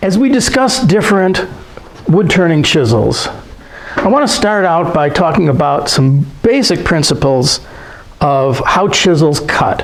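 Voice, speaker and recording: A man with a high voice talks at a fairly slow pace, his pitch swinging very widely while his loudness stays very even, with noticeable background noise and audible room echo. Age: 70s. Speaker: woodturning teacher. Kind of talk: tutorial.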